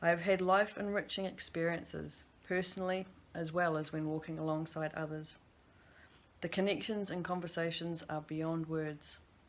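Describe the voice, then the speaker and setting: A woman with a New Zealand accent speaks at a moderate pace and fairly low pitch. Her intonation is fairly even, and the room echo is audible. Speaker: substance use practitioner. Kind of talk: recorded conference presentation.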